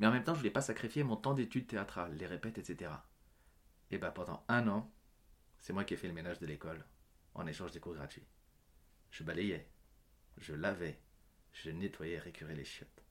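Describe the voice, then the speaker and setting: A man's very deep, low voice, lively in intonation, with big swings in loudness and long, frequent pauses. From France, Paris suburbs (Yvelines), Portuguese parents. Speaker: actor and comedian. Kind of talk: interview. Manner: hesitant with many fillers.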